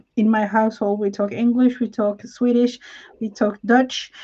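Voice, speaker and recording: With a non-native accent, a woman talks at a fairly slow pace in a dark, mellow tone with monotone, flat intonation. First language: not English. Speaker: crafting collaborator. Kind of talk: casual chat.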